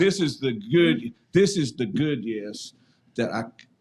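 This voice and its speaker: Here a man talks with an eastern North Carolina accent at a medium pitch. His pace is fairly slow, and his pitch swings very widely. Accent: Southern US (eastern North Carolina). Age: 60s. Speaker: former high school football player. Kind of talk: casual chat. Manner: halting, many repeated words.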